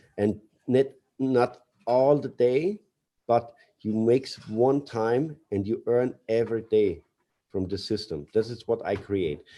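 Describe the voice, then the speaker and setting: Speaking very slowly, a man leaves long, frequent pauses. His medium-pitched voice has a dark, mellow tone. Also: ordinary pitch variation. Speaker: company CEO. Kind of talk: webinar speech. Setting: webinar. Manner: halting, hesitant.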